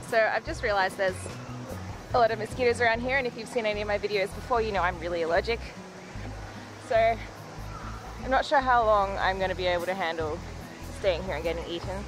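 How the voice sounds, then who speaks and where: Clear music plays behind a woman talking at a very fast pace. Her pitch varies in an ordinary way, and the sound is dry with no echo. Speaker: art vlogger. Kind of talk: casual vlog chat. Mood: frustrated, mildly annoyed. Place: garden. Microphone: phone near.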